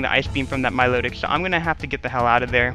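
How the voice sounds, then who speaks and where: A man talks over music in the background. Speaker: gaming commentator. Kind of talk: video game commentary. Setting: headset microphone with static. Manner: casual, conversational.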